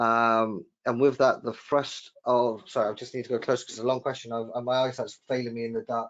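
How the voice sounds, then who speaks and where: With a Welsh accent, a man speaks at a fairly quick pace and medium pitch, in a monotone, flat way with hardly any pauses. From Wales. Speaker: webinar host, trade magazine editor. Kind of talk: live webinar discussion. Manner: hesitant, many repeated words.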